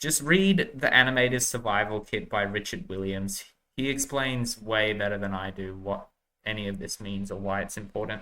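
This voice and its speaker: In a very clean recording with a silent background, a man with an Australian accent speaks at a moderate pace and fairly low pitch, with ordinary pitch variation and a bright, sharp tone. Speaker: animation tutorial creator. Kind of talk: tutorial. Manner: casual, hesitant with fillers.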